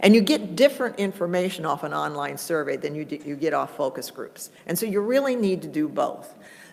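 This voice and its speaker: Speaking at a fairly quick pace with hardly any pauses, a woman with a fairly low voice and vocal fry swings very widely in pitch. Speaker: conference presenter on cable franchising. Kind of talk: conference workshop presentation. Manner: fast.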